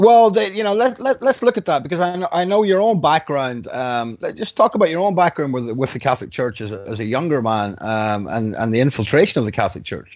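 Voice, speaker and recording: With an Irish accent, a man races along at a very fast pace, his pitch swinging very widely and hardly any pauses breaking his speech. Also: fairly high pitch for a man. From Ireland. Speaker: radio host. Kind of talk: interview.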